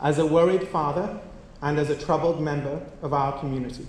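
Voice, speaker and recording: There is audible room echo as a man with a non-native accent and fairly high pitch speaks at a moderate pace with fairly even intonation. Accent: foreign. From outside the US. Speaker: community organization leader. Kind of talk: formal memorial speech. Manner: formal.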